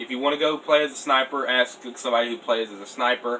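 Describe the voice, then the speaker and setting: A man talks fairly quickly, with noticeable background noise around him. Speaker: airsoft youtuber. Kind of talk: casual tutorial. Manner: quiet, late at night.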